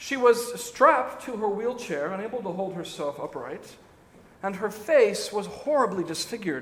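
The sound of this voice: Unforced reading voice, lively in its intonation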